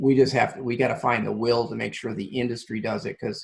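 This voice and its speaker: Vocal fry marks this man's medium-pitched voice. He talks fairly quickly with ordinary pitch variation. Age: 60s. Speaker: nonprofit CEO. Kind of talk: interview.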